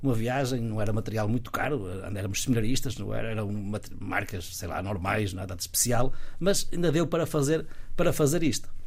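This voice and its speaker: Somewhat breathy speech moves at a fairly quick pace with lively intonation. Audible room echo surrounds the voice. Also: man, medium pitch for a man. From northern Portugal, Guimarães. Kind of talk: casual interview. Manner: halting, frequent repetitions.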